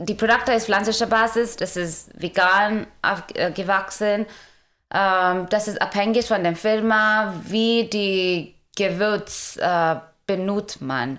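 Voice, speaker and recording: At a very slow pace, a woman speaks with a medium pitch and ordinary pitch variation in a very clean recording with a silent background. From India. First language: Indian language, German learned as adult (speaking German). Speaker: food startup founder. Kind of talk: interview. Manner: halting, many fillers.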